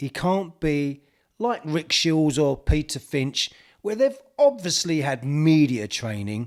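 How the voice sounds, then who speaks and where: With a strong East London accent, a man speaks at a fairly slow pace and fairly high pitch, his voice making very wide pitch swings. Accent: thick East End London. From East End of London. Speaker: golf YouTuber. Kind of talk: opinion vlog.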